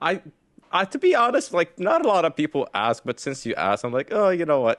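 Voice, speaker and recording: A man with an American accent at a fairly quick pace, in a dry, close sound with no echo and a quiet background. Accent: slight accent, often taken for American. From Jordan. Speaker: streamer. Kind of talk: casual chat.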